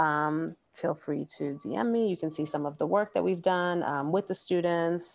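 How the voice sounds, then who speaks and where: Hardly any pauses break the speech. Pitch varies in an ordinary way. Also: woman, fairly low pitch for a woman, moderate pace. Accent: American. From Brooklyn, New York. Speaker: school counselor. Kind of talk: casual interview chat.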